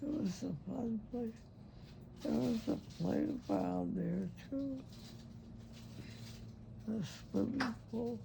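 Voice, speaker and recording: A woman speaks at a very slow pace with long, frequent pauses. There is noticeable background noise. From Cincinnati. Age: old. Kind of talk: interview answer. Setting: hospice room.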